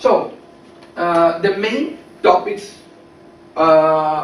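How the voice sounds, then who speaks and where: A man speaks with a Brazilian Portuguese accent at a high pitch for a man. Noticeable background noise and audible room echo fill the recording. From Brazil, São Paulo. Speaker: English language student. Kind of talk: class presentation speech. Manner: halting, with fillers.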